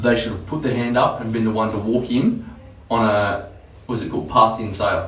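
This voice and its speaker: At a very fast pace, a man speaks at a medium pitch with fairly even intonation. Noticeable background noise runs underneath. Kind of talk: casual talk to camera.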